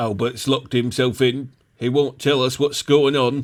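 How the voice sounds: A man puts on a gruff character voice at a medium pitch. He talks at a moderate pace.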